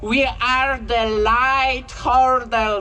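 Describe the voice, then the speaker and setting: A woman speaks in a raised voice. She projects it outward. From Poland. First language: Polish. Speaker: health worker. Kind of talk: rally speech.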